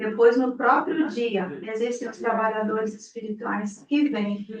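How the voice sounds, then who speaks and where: A woman speaks loudly at a fairly high pitch and a fairly slow pace. Her pitch varies in an ordinary way. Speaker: spiritist center leader. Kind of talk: talk to gathering. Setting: room with audience, no PA. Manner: projecting loudly.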